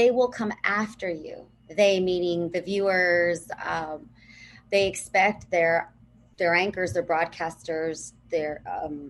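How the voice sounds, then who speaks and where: In a Southern California accent, a woman speaks very slowly. Her pitch is fairly low. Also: ordinary pitch variation. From Los Angeles (Pico Rivera), Southern California. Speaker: TV and radio broadcaster. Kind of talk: podcast interview.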